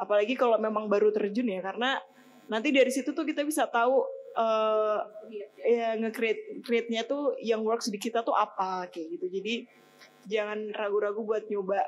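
Over light background noise, a woman with a fairly high pitch speaks at a moderate pace with ordinary pitch variation. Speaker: online media editor, alumni speaker; speaker. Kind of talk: guest lecture to students. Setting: stage with audience in amphitheatre. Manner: casual, friendly. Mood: friendly, smiling. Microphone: podium.

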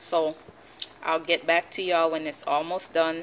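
A woman's fairly low voice with a fairly bright tone at a slow pace, over faint background noise

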